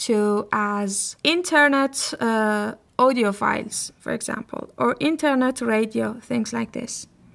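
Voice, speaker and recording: A woman with a Persian accent at a fairly high pitch and a very slow pace, on a very clean recording with a silent background. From Iran. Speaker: podcast host. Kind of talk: solo podcast talk.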